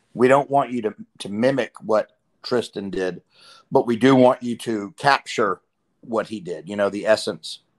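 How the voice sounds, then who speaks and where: Moderate pacing and ordinary pitch variation from a man, with a quiet background. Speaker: voice actor guest. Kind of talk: interview answer. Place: home room. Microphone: video call.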